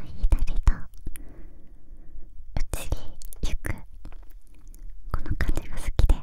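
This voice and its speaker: A soft-spoken, whispering woman. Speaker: ASMR creator. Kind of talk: soft ASMR whisper chat. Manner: soft close whisper, moving between mics. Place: home room. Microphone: studio mic.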